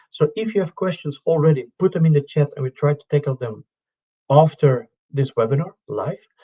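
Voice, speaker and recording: This voice, with a Dutch accent, has a dark, mellow tone that is somewhat breathy, with ordinary pitch variation. The sound is dry and close, with no echo. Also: man. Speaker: syllabus working group chair, presenter. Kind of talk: webinar presentation. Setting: live online webinar.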